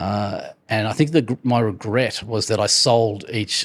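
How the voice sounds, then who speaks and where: A man's voice, fairly low in pitch. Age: 60s. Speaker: entrepreneur and business author. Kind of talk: interview. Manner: halting, many fillers and repetitions.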